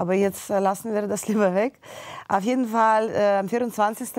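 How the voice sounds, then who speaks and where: A woman's fairly slow speech, with fairly even intonation, comes over a quiet background. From Ukraine, Kyiv. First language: Russian or Ukrainian (speaking German). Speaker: pianist; interview guest. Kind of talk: interview; interview answer. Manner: halting. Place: studio. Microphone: lapel.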